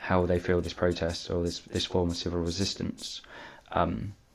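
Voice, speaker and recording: At a moderate pace, a man speaks quietly. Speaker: political commentary youtuber. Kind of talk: casual commentary. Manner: halting, many fillers.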